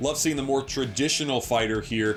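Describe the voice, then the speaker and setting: Music plays in the background. A man is speaking. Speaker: sports commentator. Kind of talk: sports color commentary.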